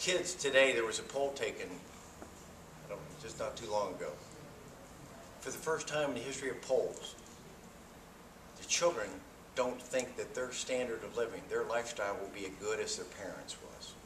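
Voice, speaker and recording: Against noticeable background noise and audible room echo, a man with an American accent talks at a moderate pace with long, frequent pauses. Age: 60s. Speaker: political candidate. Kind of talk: campaign speech. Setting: forum with live audience.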